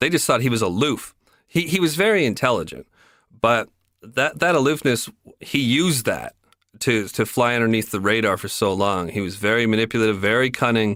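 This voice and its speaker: In a Canadian accent, a man talks at a fairly quick pace and medium pitch with lively intonation and a normal speaking voice, on a very clean recording with a silent background. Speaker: podcast host. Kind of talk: casual chat.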